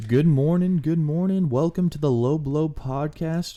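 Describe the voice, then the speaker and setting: This man's dark, mellow tone comes through on a very clean recording with a silent background, his fairly slow delivery showing ordinary pitch variation. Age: 20s. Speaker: podcast co-host. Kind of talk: casual chat. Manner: animated.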